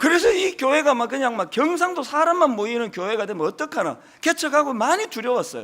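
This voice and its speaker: Speaking in a strong Gyeongsang accent, a man with a bright, sharp tone talks at a moderate pace as his pitch swings very widely. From Gyeongsang Province, South Korea. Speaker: senior pastor. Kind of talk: sermon.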